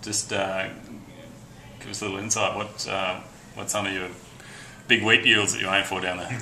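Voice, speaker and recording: With an Australian accent, a man speaks at a fairly low pitch in a monotone, flat intonation, with big swings in loudness, long, frequent pauses, noticeable background noise and audible room echo. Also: moderate pace. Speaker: interviewer, farmer. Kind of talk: casual interview.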